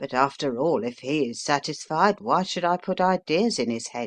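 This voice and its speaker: A man performs a raspy, put-on character voice at a fairly high pitch and a moderate pace. The sound is dry and close with no echo, over a quiet background. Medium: read story. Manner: homely, rambling.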